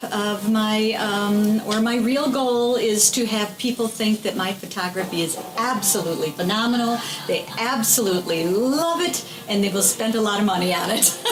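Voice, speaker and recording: A woman speaks at fairly high pitch and a moderate pace, with ordinary pitch variation. Audible room echo and noticeable background noise fill the recording. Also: very even loudness. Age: 60s. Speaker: photographer. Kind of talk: interview. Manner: animated.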